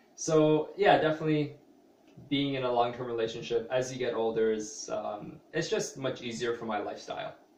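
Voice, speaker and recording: Fairly quick speech with audible room echo. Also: man, medium pitch for a man, ordinary pitch variation. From Canada (Toronto area). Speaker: vlogger, small business owner. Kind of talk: personal vlog monologue. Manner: hesitant, many fillers.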